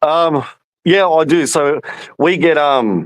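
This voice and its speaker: A man talks with an Australian accent and ordinary pitch variation. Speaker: football fan. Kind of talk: casual chat.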